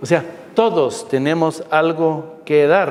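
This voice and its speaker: There is noticeable background noise and audible room echo. Through it, a man speaks at a fairly high pitch. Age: 60s. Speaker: physician. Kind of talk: lecture.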